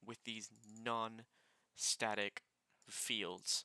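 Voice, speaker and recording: The man's voice has a medium pitch and a bright, sharp tone. It sounds dry and close, with no echo. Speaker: programming tutorial maker. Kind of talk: tutorial. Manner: halting, repeats words.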